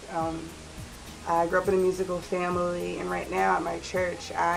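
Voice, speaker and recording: Over music in the background and audible room echo, a woman with an American accent speaks at a moderate pace. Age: 20s. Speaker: K-pop fan, church drama director. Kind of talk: interview answers.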